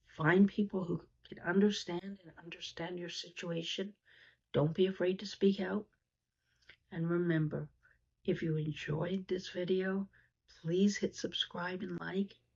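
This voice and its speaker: This somewhat breathy voice has monotone, flat intonation, big swings in loudness, a fairly slow pace and long, frequent pauses. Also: woman. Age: 60s. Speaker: YouTuber discussing seniors and poverty. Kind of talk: vlog talk to camera. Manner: hesitant with fillers and repetitions.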